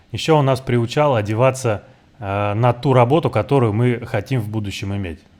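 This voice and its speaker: Talking at a very fast pace, a man speaks with a Russian accent. His pitch sits in the medium range with ordinary variation. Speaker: former player commentator. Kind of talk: commentary. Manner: halting.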